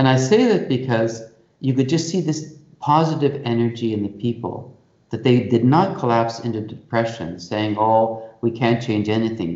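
This is an unremarkable speaking voice, a man's, medium in pitch with ordinary pitch variation. He talks at a moderate pace with a Canadian accent. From Canada, Toronto. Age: 60s. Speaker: Jesuit priest and institute rector. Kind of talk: interview.

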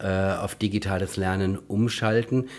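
A man talks in an unremarkable speaking voice at a fairly low pitch. The recording is very clean with a silent background. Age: 50s. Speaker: physiotherapist and education campus director. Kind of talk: interview.

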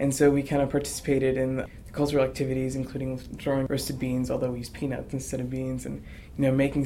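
A man at a very fast pace, medium pitch, flat monotone intonation, with audible room echo. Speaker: university student. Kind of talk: interview.

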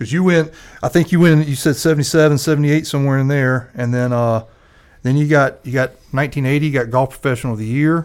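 A man with a South Carolina accent, very fast in pace, with fairly even intonation. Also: fairly high pitch for a man. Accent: US Southern (South Carolina). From South Carolina (Lexington). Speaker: golf association executive director. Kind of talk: casual podcast chat. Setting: studio.

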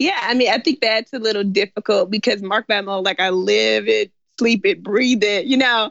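Her American accent comes with vocal fry as this woman speaks at medium pitch and a moderate pace with ordinary pitch variation. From US South, Memphis, Tennessee. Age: 20s. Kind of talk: interview.

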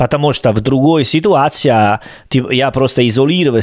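In a very clean recording with a silent background, a man with an Italian accent speaks at a moderate pace with ordinary pitch variation. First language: Italian (speaking Russian). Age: 30s. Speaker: podcast co-host. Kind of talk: casual chat.

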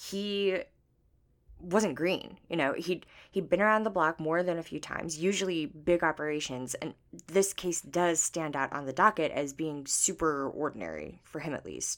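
In a very clean recording with a silent background, a woman with an unremarkable speaking voice talks at a moderate pace, fairly low in pitch, with ordinary pitch variation. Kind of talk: horror fiction narration. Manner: hushed, tense first-person storytelling, building dread.

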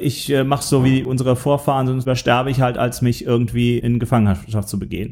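A man keeps up a fairly quick pace while noticeable background noise carries on. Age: middle-aged. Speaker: film podcast host. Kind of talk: casual chat.

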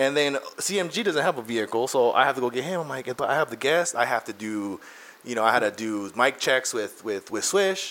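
This man speaks at a fairly quick pace with a medium pitch. His tone is animated and his intonation lively. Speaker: podcast host. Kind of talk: casual chat. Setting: studio.

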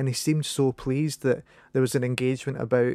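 An unremarkable speaking voice: a man at a medium pitch, talking at a fairly quick pace with fairly even intonation. The recording is very clean, with a silent background. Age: 30s. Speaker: podcast host. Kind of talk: casual interview chat.

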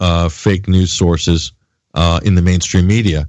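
A man speaks with a very deep, low pitch. His delivery is fairly slow and fairly even in intonation. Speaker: radio host. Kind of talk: angry rant, fiery political tirade against mainstream media and Hollywood. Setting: live radio show and web stream.

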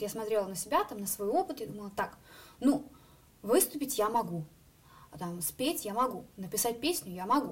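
Her voice fairly high and her pitch swinging very widely, a woman speaks at a fairly quick pace. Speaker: singer and student. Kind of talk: interview.

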